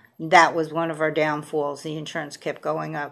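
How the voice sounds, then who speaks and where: A woman with a very deep, low pitch, vocal fry, monotone, flat intonation and a moderate pace. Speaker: vlogger fundraising for a new home. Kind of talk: casual appeal to viewers. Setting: home video recorded on a tablet. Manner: halting, many fillers.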